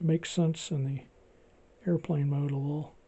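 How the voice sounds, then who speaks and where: Quiet speech at a moderate pace. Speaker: toy collector video host. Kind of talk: casual tutorial walkthrough. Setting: home video recording with gimbal. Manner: quiet, low volume; restrained, not boisterous.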